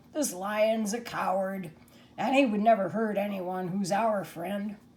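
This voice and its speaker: A woman puts on a raspy character voice at medium pitch, speaking at a fairly slow pace. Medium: read story.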